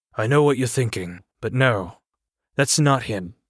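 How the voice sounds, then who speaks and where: Using a put-on character voice, a man sounds gruff and rumbling at a medium pitch, with ordinary pitch variation and a moderate pace. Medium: read story. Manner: grumbling, blunt.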